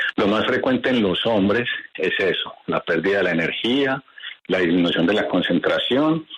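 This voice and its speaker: A man talks at a moderate pace while noticeable noise fills the background. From Colombia. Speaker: doctor. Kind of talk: expert interview.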